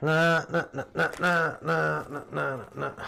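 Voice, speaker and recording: A fairly high-pitched man with a Yorkshire accent speaks at a fairly slow pace. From Yorkshire, Wakefield near Leeds. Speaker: console repair streamer. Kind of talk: live stream casual chat.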